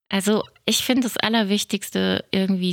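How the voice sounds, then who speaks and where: A woman uses an ordinary speaking voice at medium pitch and moderate pace, with ordinary pitch variation. The recording is very clean, with a silent background and a dry, close sound with no echo. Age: 50s. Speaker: podcast host, self-help group co-founder. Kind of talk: casual chat.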